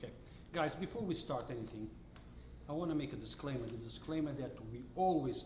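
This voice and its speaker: A man with a non-native accent and a fairly high pitch, ordinary pitch variation and a fairly quick pace, amid audible room echo and noticeable background noise. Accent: non-native accent, improving. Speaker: local news channel host. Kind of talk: interview. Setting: restaurant.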